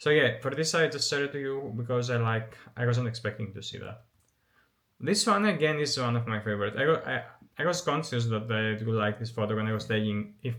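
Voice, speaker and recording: A man speaks with a non-native accent at a fairly quick pace. His medium pitch shows ordinary variation. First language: not English. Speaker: photography YouTuber. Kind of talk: casual vlog commentary. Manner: halting, many fillers and restarts.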